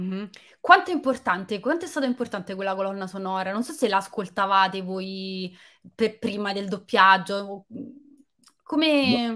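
Against a quiet background, a woman talks at a moderate pace in a bright, sharp, animated tone, with long, frequent pauses, big swings in loudness and ordinary pitch variation. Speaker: film journalist and live stream host; interview host. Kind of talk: live video interview. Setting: video call. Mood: friendly, lively. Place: home room. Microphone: webcam.

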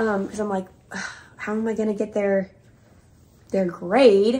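At a moderate pace, a woman speaks in a somewhat breathy voice with monotone, flat intonation. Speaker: elementary school teacher. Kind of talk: casual vlog talk to camera. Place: home room. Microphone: camera far.

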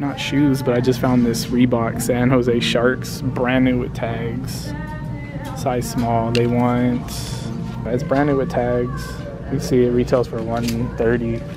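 A man speaks at a very slow pace with long, frequent pauses. Clear music plays in the background, and the sound is dry with no echo. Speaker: thrift shopper vlogger. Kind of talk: casual vlog commentary. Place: shop. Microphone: phone near.

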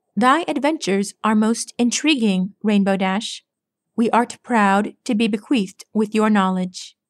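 Reading aloud in a natural voice against a quiet background

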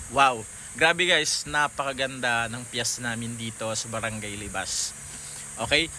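The voice shows big swings in loudness alongside ordinary pitch variation. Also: man, medium pitch for a man. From Philippines, Pangasinan. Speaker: vlogger. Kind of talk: vlog monologue. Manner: casual, hesitant with fillers.

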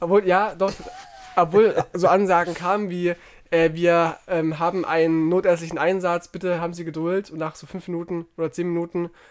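A man with a high pitch talks at a moderate pace in a monotone, flat intonation, his loudness swinging widely over noticeable background noise. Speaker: podcast co-host. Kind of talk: casual chat. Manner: soft-spoken; quieter than co-host.

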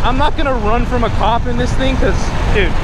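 The speech races at a very fast pace, dry with no echo but with loud background noise. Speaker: vlogger. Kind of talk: casual vlog chat. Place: street. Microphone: phone near.

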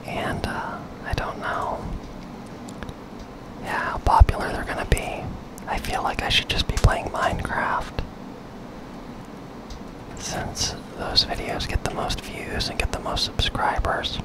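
A whisper at a fairly slow pace, broken by long, frequent pauses. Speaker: ASMR gaming content creator. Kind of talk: ASMR gaming commentary, whispered and soft-spoken. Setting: studio, close microphone. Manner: whispered, soft-spoken. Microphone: studio mic.

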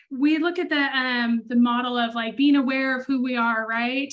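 Speaking at a moderate pace, a woman uses a high voice with fairly even intonation. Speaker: human design reader. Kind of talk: consultation talk on a call. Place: home room. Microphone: video call.

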